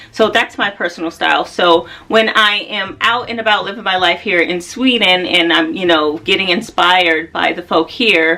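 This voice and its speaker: With an American accent, a woman speaks at a medium pitch and a moderate pace, her intonation lively. Noticeable background noise is present. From United States. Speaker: fashion and style vlogger. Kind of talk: casual vlog talk to camera.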